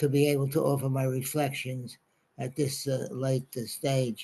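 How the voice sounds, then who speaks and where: A man speaks at a fairly slow pace and a medium pitch. His voice is somewhat breathy, with a dark, mellow tone. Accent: New York. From New York City, Brooklyn. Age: 90s. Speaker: congregation elder sharing life reflections. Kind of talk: talk to a congregation. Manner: halting, many fillers.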